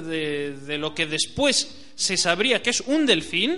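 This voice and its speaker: Noticeable background noise sits behind a man's raised, projected voice with very wide pitch swings. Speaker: radio host. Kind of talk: radio show monologue. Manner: hesitant, with frequent fillers.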